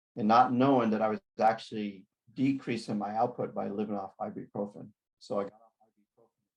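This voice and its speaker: Fairly quick and fairly even in intonation, a man talks at a medium pitch. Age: 60s. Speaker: athlete giving product presentation. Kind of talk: presentation to online audience. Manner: halting.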